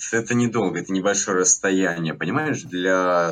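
A man's very deep, low voice with lively intonation. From Latvia. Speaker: gaming community administrator. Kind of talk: casual chat. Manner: hesitant with filler words.

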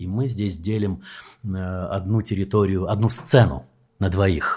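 At a very slow pace, the speaker's somewhat breathy voice has a dark, mellow tone. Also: man. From Soviet Union. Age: 60s. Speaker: actor and theatre director. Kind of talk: casual chat. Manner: animated.

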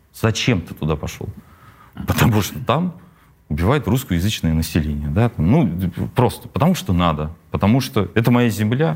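Pausing long and often, a man speaks at a moderate pace with a fairly low pitch that makes very wide swings. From Russia, Tula region (Novomoskovsk). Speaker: rapper. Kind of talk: interview.

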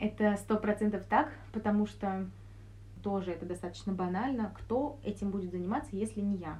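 Noticeable background noise is present throughout. A woman talks over it at a moderate pace. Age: 20s. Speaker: clinical neuropsychologist. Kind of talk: casual interview.

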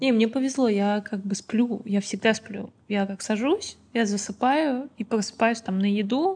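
A woman's voice sounds somewhat breathy, with ordinary pitch variation. She speaks at a fairly slow pace. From Azerbaijan. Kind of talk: casual podcast interview.

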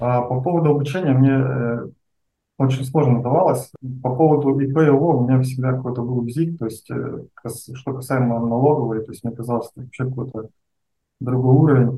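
A man speaks at a moderate pace, somewhat breathy, with fairly even intonation. Long pauses come often. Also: medium pitch for a man, big swings in loudness. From Russia, Omsk. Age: 30s. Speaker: online seller. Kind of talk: interview.

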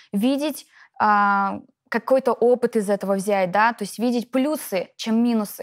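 Fairly high in pitch with ordinary pitch variation, a woman uses a normal speaking voice in a very clean recording with a silent background and a dry, close sound with no echo. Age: 30s. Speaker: network marketing distributor. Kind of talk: interview.

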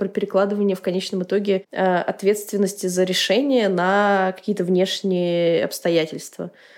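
A woman with an ordinary speaking voice talks at medium pitch and a moderate pace. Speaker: podcast host. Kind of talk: casual chat.

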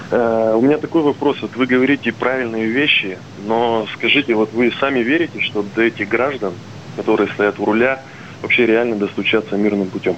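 Noticeable background noise sits behind a man of medium pitch. His loudness stays very even, and his intonation is fairly even. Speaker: caller, small business owner. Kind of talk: phone-in question. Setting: phone call.

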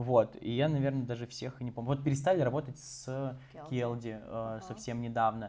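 A man speaks with a dark, mellow tone at a medium pitch. His intonation stays fairly even. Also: moderate pace. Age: 20s. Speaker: marketing agency founder. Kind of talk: interview. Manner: casual, filler-heavy.

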